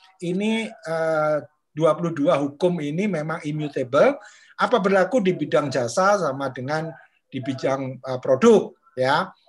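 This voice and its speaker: At a fairly slow pace, a man with a high pitch speaks with lively intonation. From Indonesia, Madiun, East Java; East Java, Indonesia. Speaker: discussion group moderator. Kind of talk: online book discussion. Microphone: webcam.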